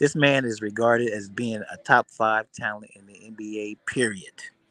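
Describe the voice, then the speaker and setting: The speaker is a man. His pitch is medium. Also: dry, close sound with no echo. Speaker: sports livestream host. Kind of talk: casual livestream chat. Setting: airport. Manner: loud.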